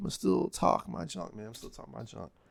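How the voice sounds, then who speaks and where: A man speaks fairly quickly as noticeable background noise continues around him. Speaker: YouTuber reacting to his own talk. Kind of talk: casual commentary. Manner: halting, repeats words.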